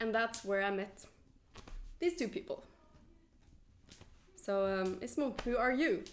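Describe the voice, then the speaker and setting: Fairly slow speech in a Norwegian accent, with very wide pitch swings and long, frequent pauses. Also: woman, fairly high pitch for a woman. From Norway. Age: 20s. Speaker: podcast host, journalist. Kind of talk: casual chat. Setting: winery.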